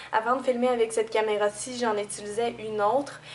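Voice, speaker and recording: A woman with a Quebec accent speaks at a fairly high pitch and a fairly quick pace. Her intonation is monotone and flat. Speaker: beauty youtuber. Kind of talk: tutorial. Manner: hesitant, many fillers. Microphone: camera's built-in audio.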